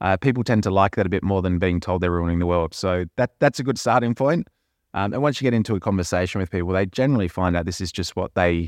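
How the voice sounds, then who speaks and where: A man with an Australian accent speaks very fast in a very deep, low voice with ordinary pitch variation, the sound dry and close with no echo over a quiet background. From Perth, Western Australia. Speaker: managing director of a sustainability consultancy, former professional cricketer. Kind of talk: casual interview. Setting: studio. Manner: hesitant, many fillers; passionate.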